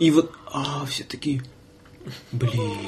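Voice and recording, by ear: Here a man speaks slowly in a fairly high pitch with a slightly mellow tone. His pitch swings very wide.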